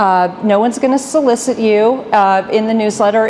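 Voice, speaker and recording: Over noticeable background noise, a woman with a fairly high pitch speaks at a fairly quick pace with fairly even intonation. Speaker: business association executive. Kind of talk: presentation to live audience. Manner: fast.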